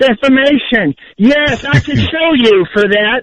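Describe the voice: This man's pitch is extremely high for a man. His tone is fairly bright. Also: dry, close sound with no echo.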